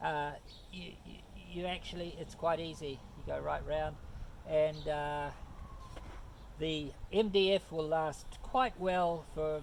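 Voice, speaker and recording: A man with a New Zealand accent and a fairly high pitch talks very slowly with long, frequent pauses, fairly even intonation and big swings in loudness, in audible room echo. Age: 70s. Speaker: woodworker. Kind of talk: tutorial. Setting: outdoors. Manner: halting, many fillers.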